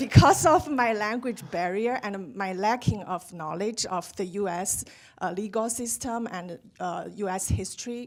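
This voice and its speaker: This woman talks at a fairly slow pace in a medium pitch, her intonation lively and her loudness swinging widely. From outside US. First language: not English. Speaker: audience member. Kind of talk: audience question.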